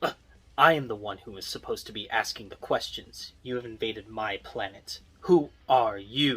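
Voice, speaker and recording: A man puts on a character voice at a medium pitch with ordinary pitch variation. He speaks at a moderate pace, his loudness swinging widely. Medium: solo performance. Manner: polite, measured.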